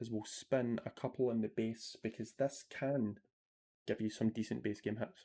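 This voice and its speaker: Monotone and flat in intonation, a man speaks in a dark, mellow tone with a Scottish accent. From Scotland. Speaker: slots streamer. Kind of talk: live stream commentary. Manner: casual, chatty.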